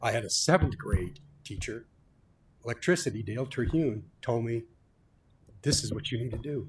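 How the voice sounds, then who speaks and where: Somewhat breathy, a man speaks at a moderate pace with ordinary pitch variation. He leaves long, frequent pauses. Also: medium pitch for a man. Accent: American. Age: 70s. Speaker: electrical contractor speaking at public comment. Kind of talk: public comment at school board meeting. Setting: school board meeting. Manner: impassioned.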